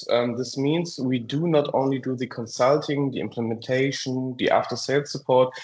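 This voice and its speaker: With a German accent, a man speaks at a fairly high pitch and with fairly even intonation. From Germany, near Frankfurt. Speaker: software company presenter. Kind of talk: webinar presentation. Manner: hesitant, many fillers.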